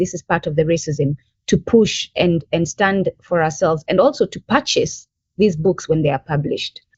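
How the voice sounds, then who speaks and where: A woman speaks at a moderate pace with an East African accent. Her voice is fairly low in pitch and somewhat breathy. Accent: unchanged East African. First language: Bantu language (mother tongue). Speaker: language advocate. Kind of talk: podcast interview.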